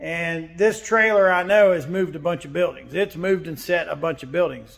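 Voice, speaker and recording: The background is quiet. A man speaks at a moderate pace, high in pitch for a man, with ordinary pitch variation. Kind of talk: casual vlog chat. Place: workshop. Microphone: phone near.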